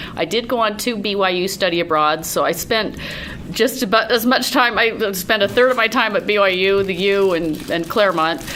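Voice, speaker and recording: Noticeable background noise sits behind a woman's medium-pitched voice. She keeps a moderate pace with ordinary pitch variation. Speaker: writer and editor. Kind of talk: talk to academic group. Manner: loud.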